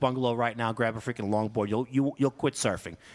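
In a very clean recording with a silent background, a man speaks with a New York accent. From New York City, Queens. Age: 40s. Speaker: firefighter captain. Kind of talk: casual chat.

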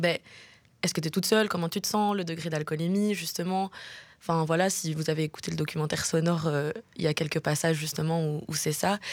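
Very fast speech from a woman, fairly low in pitch with fairly even intonation. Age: 20s. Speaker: journalism student. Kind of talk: radio interview. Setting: studio.

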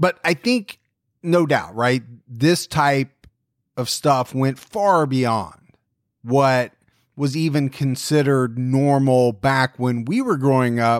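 The speaker goes at a very slow pace with very even loudness and ordinary pitch variation. The sound is dry and close, with no echo. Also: man, medium pitch for a man. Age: 40s. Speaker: true crime podcast host. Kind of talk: casual chat.

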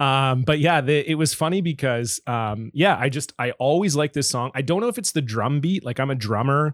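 With a Canadian accent, a man speaks in a plain, everyday voice at medium pitch with ordinary pitch variation, captured on a very clean recording with a silent background. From Canada, Southern Ontario and British Columbia. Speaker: podcast guest, musician. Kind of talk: casual chat.

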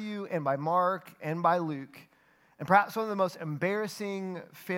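The pitch shifts in an ordinary way as the text is read aloud in a natural voice.

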